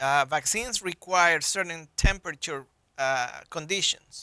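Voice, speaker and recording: A man with a Colombian accent and a bright, sharp tone, at a fairly slow pace with ordinary pitch variation, in a dry, close sound with no echo and a quiet background. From Colombia (Bogota). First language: Spanish. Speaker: public health physician. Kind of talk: interview.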